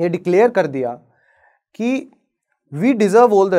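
Against a quiet background, a man speaks at a high pitch and a fairly slow pace with lively intonation. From Haryana, Bhiwani; Haryana, India. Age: 20s. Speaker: advocate; lawyer. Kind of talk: inspirational talk. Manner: dramatic pauses. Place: stage. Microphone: lapel.

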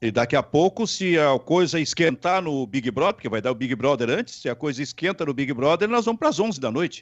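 A man at a fairly quick pace, fairly high-pitched, with very wide pitch swings. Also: quiet background. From Rio Grande do Sul, Brazil. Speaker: sports talk show host. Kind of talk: sports talk show. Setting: online video stream. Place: home room. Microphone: handheld.

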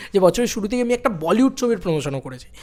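A man talks against a quiet background. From West Bengal, India. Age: 20s. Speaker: YouTuber, film content creator. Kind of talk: personal vlog monologue. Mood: happy, reflective year recap. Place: home room. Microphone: studio mic.

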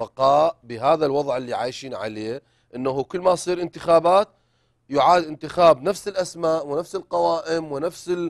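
Here a man talks at a moderate pace, his fairly high pitch showing ordinary variation. The background is quiet. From Iraq. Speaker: writer and novelist; talk show guest. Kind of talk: interview. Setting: studio. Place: studio. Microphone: lapel.

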